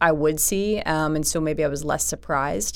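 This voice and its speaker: A woman speaks in a Philadelphia accent. Her pace is moderate. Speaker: nonprofit executive director. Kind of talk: interview conversation.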